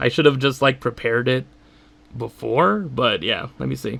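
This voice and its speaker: A man speaks at a medium pitch with ordinary pitch variation. His tone is bright and sharp, with vocal fry. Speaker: YouTuber. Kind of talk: casual solo commentary. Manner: halting, many fillers.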